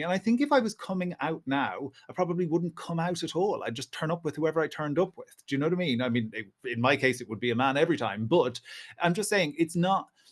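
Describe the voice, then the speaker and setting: Talking very fast in an Irish accent, a man uses a high pitch and lively intonation. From Ireland. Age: 40s. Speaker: historian and writer. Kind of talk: podcast interview.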